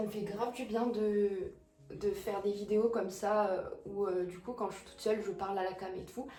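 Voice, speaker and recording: A woman's medium-pitched voice at a fairly quick pace, fairly even in intonation, with audible room echo and noticeable background noise. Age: 20s. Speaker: lifestyle vlogger. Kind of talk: casual chat to camera while doing makeup. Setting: at home, talking to camera. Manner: hesitant, many fillers.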